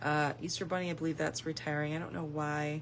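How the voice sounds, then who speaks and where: The speaker talks at a very fast pace with vocal fry. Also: woman. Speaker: stamping craft demonstrator and seller. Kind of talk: product walkthrough video. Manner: casual, with fillers.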